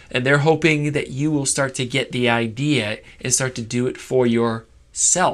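An unremarkable speaking voice at a fairly slow pace, fairly even in intonation, over a quiet background. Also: man, medium pitch for a man. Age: 40s. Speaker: youth Sunday school teacher. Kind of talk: Sunday school lesson. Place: office. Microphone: lapel.

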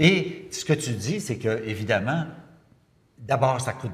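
A man talks at a very slow pace in a medium-pitched, somewhat breathy voice. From Quebec. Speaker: interviewer. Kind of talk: casual chat. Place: studio.

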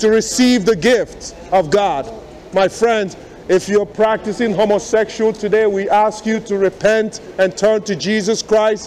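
A high-pitched man at a fairly slow pace, with fairly even intonation and music in the background. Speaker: street preacher. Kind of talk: street preaching, confrontational. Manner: insistent, repeating. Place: station.

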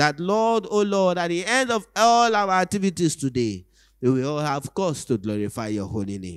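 Against a quiet background, a man with a fairly high pitch talks at a moderate pace, his pitch swinging very widely. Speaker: church prayer leader. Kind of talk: fervent prayer and devotional reading. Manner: fervent, earnest, reverent. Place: church. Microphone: handheld.

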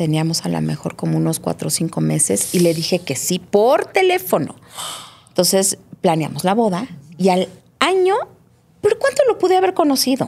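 A woman talks at a moderate pace. She leaves long, frequent pauses. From Mexico City. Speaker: writer and therapist; guest. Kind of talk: personal testimony interview. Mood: reflective, earnest. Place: studio. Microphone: studio mic.

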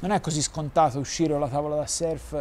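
A man in a Florentine accent, flat and monotone, over light background noise. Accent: Florentine Italian. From Tuscany, Florence. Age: young. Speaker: adaptive surfer, wheelchair user; interview guest. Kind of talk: interview. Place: garden.

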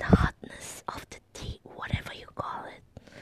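A woman whispers at a very slow pace. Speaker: ASMR vlogger. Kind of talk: ASMR talk to camera. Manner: soft-spoken. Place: home room. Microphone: phone near.

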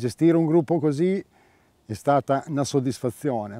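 Fairly high-pitched male voice with a dark, mellow tone and lively intonation, at a moderate pace, in a dry, close sound with no echo. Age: 60s. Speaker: veteran angler and team manager. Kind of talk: emotional interview.

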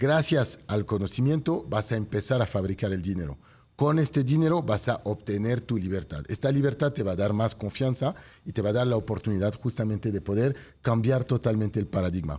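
A man with a dark, mellow tone and a somewhat breathy voice talks at a fairly quick pace with lively intonation. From France. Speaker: real estate show host. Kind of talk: motivational sales pitch; talk show interview. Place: studio. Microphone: studio mic.

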